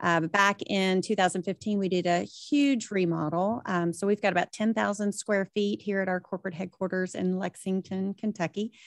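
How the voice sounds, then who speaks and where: Speaking with a Southern US accent, a woman at medium pitch holds a moderate pace with fairly even intonation and hardly any pauses. The sound is dry and close with no echo, against a quiet background. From US South. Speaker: briefing program manager. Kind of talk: panel webinar discussion.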